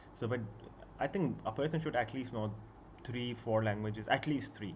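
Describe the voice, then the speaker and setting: This man speaks at a medium pitch and a moderate pace. His voice is somewhat breathy. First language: Punjabi and Urdu. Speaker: book YouTuber. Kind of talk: casual live stream chat. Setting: live stream at home. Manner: halting, many fillers.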